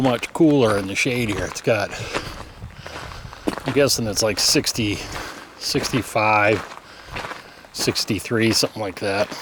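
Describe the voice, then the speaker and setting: Fairly slow male speech with long, frequent pauses, noticeable background noise behind it. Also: medium pitch for a man, ordinary pitch variation. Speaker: travel vlogger. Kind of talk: vlog narration while hiking. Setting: outdoors on a hiking trail.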